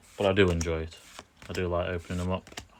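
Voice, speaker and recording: Talking at a very fast pace, a man with a British accent has a very deep, low pitch against noticeable background noise. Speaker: pokemon card opening streamer. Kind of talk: live stream chat. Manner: monotone.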